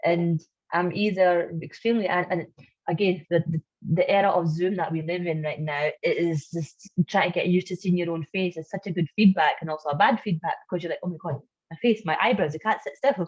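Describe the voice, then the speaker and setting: In a dry, close sound with no echo, a woman with a fairly low, somewhat breathy voice talks at a fairly quick pace with ordinary pitch variation. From Pakistan. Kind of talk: webinar discussion. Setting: video call. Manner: animated.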